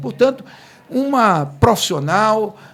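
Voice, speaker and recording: A man talks with lively intonation. Noticeable background noise is present. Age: 50s. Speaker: podcast host. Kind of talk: casual interview.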